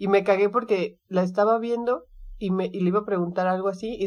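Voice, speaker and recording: A woman with an unremarkable speaking voice talks at a moderate pace, medium in pitch with ordinary pitch variation. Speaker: podcast co-host. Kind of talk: casual chat.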